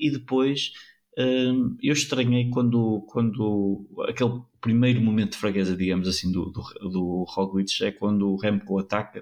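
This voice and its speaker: With an unremarkable speaking voice, a man talks at a fairly slow pace and fairly low pitch against a quiet background. His intonation is fairly even and his loudness very even. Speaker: cycling pundit. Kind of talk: casual chat. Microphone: new microphone.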